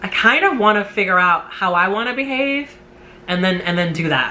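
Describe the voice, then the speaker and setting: A woman with a New York accent at a medium pitch and fairly slow pace, with ordinary pitch variation and noticeable background noise. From New York City. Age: 30s. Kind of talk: casual talk to camera. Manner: talkative.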